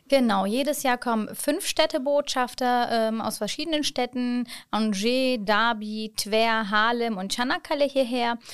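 A woman speaks at a fairly slow pace in a high voice, with hardly any pauses. The recording is very clean, with a silent background. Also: ordinary pitch variation. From born in Hannover, Germany; moved to Çanakkale, Turkey at 11. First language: Turkish (speaking German). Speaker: city ambassador and education counselor. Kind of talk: casual interview.

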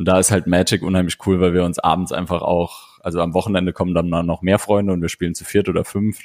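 A man talks at a very fast pace in a very deep, low pitch with monotone, flat intonation. The sound is dry and close, with no echo. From Saarland, Blieskastel. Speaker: board game podcaster. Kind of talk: casual chat. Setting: video call.

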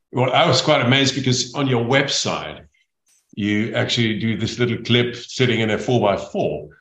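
This man talks at a moderate pace in a medium pitch with ordinary pitch variation, and audible room echo surrounds his voice. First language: German. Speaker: podcast host, speaker agency head. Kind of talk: interview.

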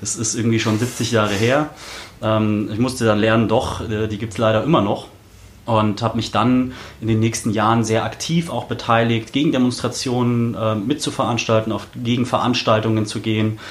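Noticeable background noise sits under a man's medium-pitched voice. He speaks at a moderate pace with fairly even intonation. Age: 20s. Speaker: local politician, city council candidate. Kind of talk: podcast interview. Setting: studio in Berlin.

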